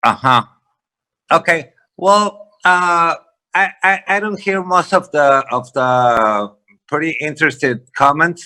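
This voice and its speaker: A man with a Spanish accent speaks very slowly in a high pitch, his tone bright and sharp and his intonation lively, with long, frequent pauses. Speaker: real estate investor. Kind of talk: panel discussion. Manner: halting.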